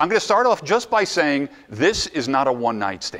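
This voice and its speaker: Vocal fry and very wide pitch swings from a man with an American accent. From New Jersey. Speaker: motivational speaker. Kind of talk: conference presentation. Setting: stage with audience. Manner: animated; fast.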